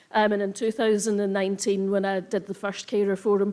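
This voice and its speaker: A woman at a medium pitch with monotone, flat intonation. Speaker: event host, carer program staff. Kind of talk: conference opening address. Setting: stage with live audience, livestreamed.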